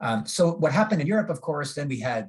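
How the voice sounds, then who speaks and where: A man talks with ordinary pitch variation in a somewhat breathy voice. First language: German. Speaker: agronomy professor. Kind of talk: lecture. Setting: video call. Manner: halting, many fillers.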